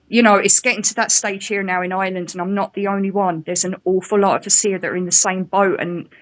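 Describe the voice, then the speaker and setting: Very fast, monotone speech with flat intonation, an English accent and hardly any pauses. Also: woman, medium pitch for a woman. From England. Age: 40s. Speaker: caller, care worker. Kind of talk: casual chat.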